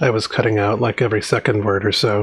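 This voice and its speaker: A man mumbling at a very fast pace and medium pitch, with noticeable background noise. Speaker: software developer live streamer. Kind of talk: live coding stream.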